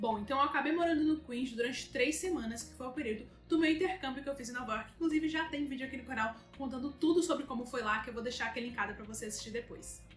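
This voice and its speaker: A woman talks at a very fast pace in a high pitch, with ordinary pitch variation and big swings in loudness, amid audible room echo and light background noise. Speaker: travel vlogger. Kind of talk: casual vlog chat. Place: home room.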